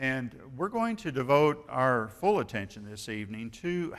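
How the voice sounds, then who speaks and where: A man speaks with a Midwestern US accent. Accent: rural Midwestern American. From Kansas. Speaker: retired preacher. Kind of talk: sermon.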